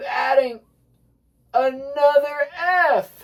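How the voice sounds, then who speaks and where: A loud voice with an American accent. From US South. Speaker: music teacher. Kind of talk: tutorial.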